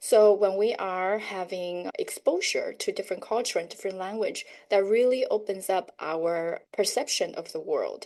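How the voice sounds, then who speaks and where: A woman with a Chinese accent talks with hardly any pauses against a quiet background. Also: moderate pace. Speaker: educator and homeschool parent. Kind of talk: podcast interview.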